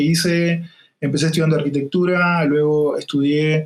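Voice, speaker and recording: A man speaks in a fairly high voice with a Uruguayan accent. His intonation stays fairly even at a moderate pace. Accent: Uruguayan rioplatense. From Uruguay, interior town. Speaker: UX design consultant. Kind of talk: interview podcast conversation. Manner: hesitant with fillers.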